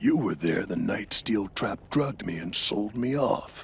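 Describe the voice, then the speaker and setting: A growling, put-on character voice from a man, at a medium pitch and a moderate pace. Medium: video game.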